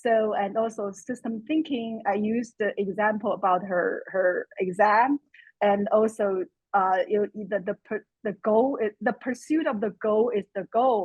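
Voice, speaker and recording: A woman with a Chinese accent, her pitch fairly high, her pace fairly slow. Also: ordinary pitch variation. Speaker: course student. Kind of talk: webinar Q&A comment.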